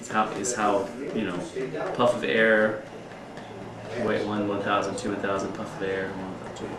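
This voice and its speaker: Noticeable background noise and audible room echo fill the recording. Through it, a man speaks fairly quickly. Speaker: CPR instructor. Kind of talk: informal instruction class.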